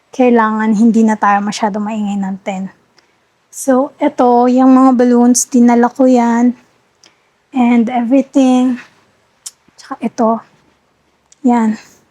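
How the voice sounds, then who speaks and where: A soft-spoken woman talks at a high pitch with flat, monotone intonation and a very slow pace, leaving long, frequent pauses. The sound is dry and close, with no echo. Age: 20s. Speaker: vlogger. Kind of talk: vlog tour.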